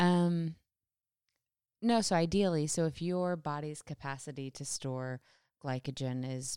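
A soft-spoken voice with a dark, mellow tone and lively intonation. The sound is dry and close with no echo, on a very clean recording with a silent background. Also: woman. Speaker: co-host, runner. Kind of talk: casual chat podcast.

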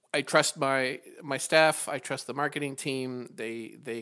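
A man's voice comes through with a bright, sharp tone. The recording is very clean, with a silent background. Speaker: podcast host. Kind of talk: interview.

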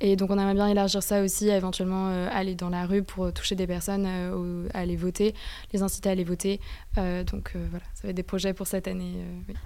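Her pace is fairly quick and her pitch medium. The woman's intonation stays monotone and flat. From France. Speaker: student association co-president. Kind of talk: radio interview. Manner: halting.

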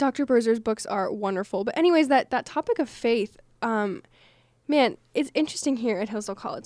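A woman's normal speaking voice, fairly high in pitch, with ordinary pitch variation at a moderate pace. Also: very clean recording, silent background. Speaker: college radio podcast co-host. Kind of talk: casual chat.

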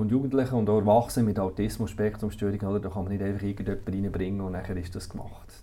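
Using monotone, flat intonation, a man speaks in a fairly low voice with a dark, mellow tone. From Switzerland, Solothurn (Bucheggberg roots). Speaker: director of a care institution. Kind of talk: interview. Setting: office. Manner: hesitant, many fillers.

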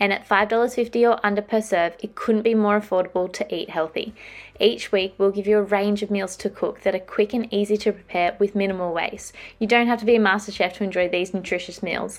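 This woman speaks fairly quickly in an Australian accent, her medium-pitched voice monotone and flat. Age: 20s. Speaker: podcast host. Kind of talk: casual chat; sales pitch.

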